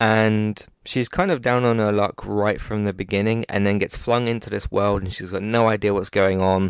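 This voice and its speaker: Here a man talks with a British accent at a fairly low pitch and fairly even intonation. The sound is dry and close with no echo, over a quiet background. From UK. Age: 20s. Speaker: podcast host. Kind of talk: casual chat.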